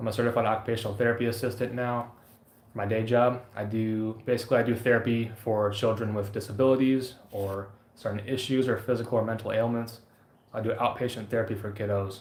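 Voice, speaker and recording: A man, very fast and monotone with flat intonation, in audible room echo. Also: medium pitch for a man. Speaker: outdoor gear YouTuber and occupational therapy assistant. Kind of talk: live stream chat.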